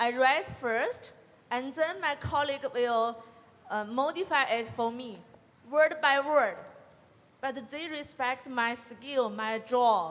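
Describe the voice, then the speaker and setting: A woman with a Chinese accent speaks at a very slow pace, with long, frequent pauses. Her pitch is high, with ordinary variation. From China. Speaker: college graduate panelist. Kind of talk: panel discussion. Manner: halting.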